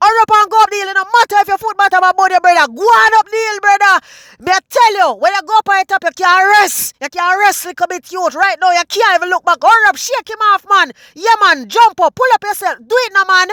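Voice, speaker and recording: Speaking very fast in a Jamaican accent, a man uses an extremely high pitch and a raised, projected voice with a bright, sharp tone and ordinary pitch variation, in a dry, close sound with no echo. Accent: Jamaican Patois. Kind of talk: comedic nature-video commentary. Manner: animated, excited.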